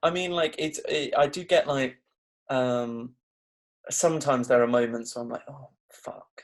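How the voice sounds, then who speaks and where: A man with an English accent talks at a fairly slow pace, his loudness swinging a lot. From England. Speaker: graphic designer and copywriter. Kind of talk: casual interview chat.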